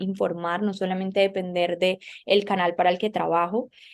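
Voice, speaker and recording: Noticeable background noise sits behind a woman speaking at a moderate pace. Her medium pitch stays monotone and flat. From Colombia. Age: young. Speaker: political journalist. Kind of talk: interview.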